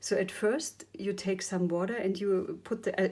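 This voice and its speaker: Speaking with a non-native accent, a woman has a dark, mellow tone and a medium pitch with ordinary variation. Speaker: ink painting teacher. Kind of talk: tutorial. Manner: hesitant, many fillers.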